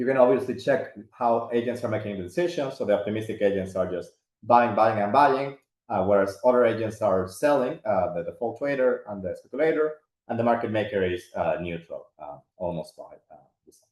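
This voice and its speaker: Loudness swings widely as a man talks at a medium pitch. He moves at a fairly quick pace with ordinary pitch variation. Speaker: finance professor presenting research. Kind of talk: academic webinar presentation. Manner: fast; many fillers and hesitations.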